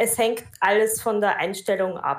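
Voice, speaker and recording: At a fairly slow pace, a woman speaks in an ordinary speaking voice with a fairly high pitch. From Austria. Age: 20s. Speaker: Buddhist practitioner and teacher. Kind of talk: casual interview.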